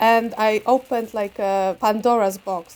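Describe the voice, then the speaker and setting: Fairly high in pitch, a woman speaks with a Polish accent and fairly even intonation. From Poland. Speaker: visual artist and photographer. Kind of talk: interview about own work.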